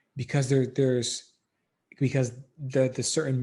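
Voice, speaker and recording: A man speaks at a fairly slow pace in a somewhat breathy voice with a dark, mellow tone. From Democratic Republic of Congo. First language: not English. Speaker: filmmaker, dancer and educator. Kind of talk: podcast interview answer.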